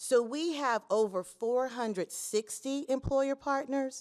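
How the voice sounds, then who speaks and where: In a Tennessee accent, a woman speaks very slowly with a dry, close sound and no echo. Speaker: state apprenticeship official. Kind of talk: conference speech.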